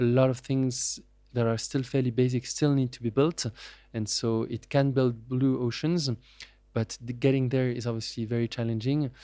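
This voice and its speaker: Medium-pitched man with a French accent, dark, mellow tone and monotone, flat intonation, at a moderate pace on a very clean recording with a silent background. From France. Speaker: venture capitalist. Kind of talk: interview. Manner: hesitant, many fillers.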